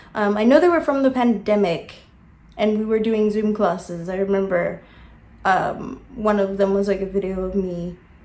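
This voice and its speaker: A woman with an American accent talks amid audible room echo. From South Africa. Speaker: YouTuber. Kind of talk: casual vlog monologue. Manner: hesitant, many fillers.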